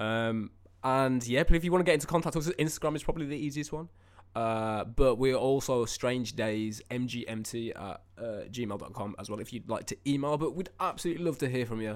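An unremarkable speaking voice from a man at a medium pitch, fairly quick in pace, with ordinary pitch variation and big swings in loudness, on a very clean recording with a silent background. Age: 20s. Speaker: musician and podcast co-host. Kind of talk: casual chat.

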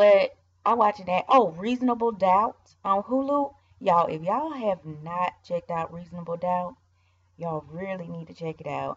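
A woman's medium-pitched, somewhat breathy voice at a moderate pace, with lively intonation and big swings in loudness. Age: 20s. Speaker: podcast host. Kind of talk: casual monologue. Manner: animated.

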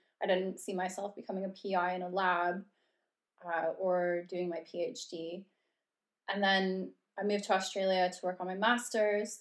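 With a western Canadian accent, a woman talks at a moderate pace in a monotone, flat intonation. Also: medium pitch for a woman. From Canada, Red Deer, Alberta. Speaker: yoga teacher and podcast co-host. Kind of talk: casual chat.

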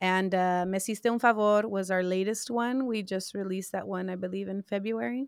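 A woman with an American accent speaks at a fairly quick pace, her medium pitch and fairly even intonation captured in a very clean recording with a silent background. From South Texas, Corpus Christi. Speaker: singer and songwriter. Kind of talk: casual interview.

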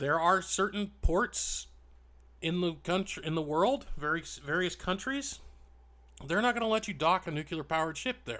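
At a moderate pace, a man speaks in a bright, sharp tone with a high pitch. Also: lively intonation. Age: 40s. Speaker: history podcast host. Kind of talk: solo podcast monologue, informal storytelling. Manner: casual, with hesitations and filler words.

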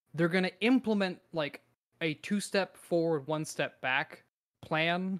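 A man with an ordinary speaking voice and a fairly high pitch talks at a fairly slow pace, the sound dry and close with no echo. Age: 20s. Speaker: podcast co-host. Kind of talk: casual chat. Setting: remote call.

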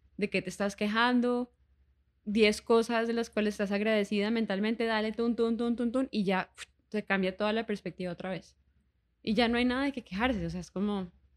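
At a fairly quick pace, a plain, everyday voice speaks with fairly even intonation. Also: woman, fairly high pitch for a woman. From Colombia, Bogotá and Cartagena. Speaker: singer. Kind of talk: casual chat.

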